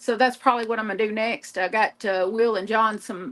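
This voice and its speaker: A woman with a Southern US accent speaks in a fairly high pitch with fairly even intonation. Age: 50s. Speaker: crafter livestreamer. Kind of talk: casual chat. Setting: live stream.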